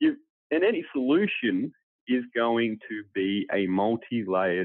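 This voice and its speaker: The speaker is a man. He has an Australian accent. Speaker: political commentator. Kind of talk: panel discussion.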